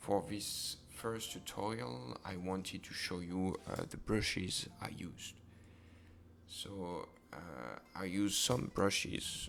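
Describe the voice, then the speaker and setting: A man with a French accent speaks at a very slow pace in a very deep, low pitch. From France. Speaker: digital artist. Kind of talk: tutorial. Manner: hesitant, many fillers.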